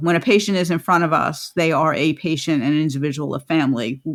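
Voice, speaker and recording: A woman talks at a moderate pace with ordinary pitch variation, captured in a very clean recording against a silent background. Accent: New York. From New York. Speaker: podcast host, midwife and lactation consultant. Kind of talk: interview podcast.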